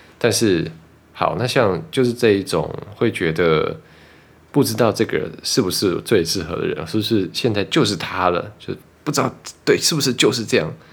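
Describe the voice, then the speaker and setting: Using an ordinary speaking voice, a man talks at a moderate pace with a fairly low pitch and lively intonation. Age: 30s. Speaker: podcast host. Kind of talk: casual chat.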